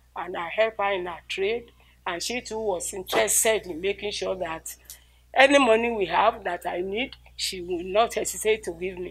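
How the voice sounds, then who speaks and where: On a very clean recording with a silent background, a woman with a Nigerian accent talks at a moderate pace and medium pitch with ordinary pitch variation. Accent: Nigerian (Yoruba) English. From Nigeria, Ilesha. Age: 80s+. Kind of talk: interview answer.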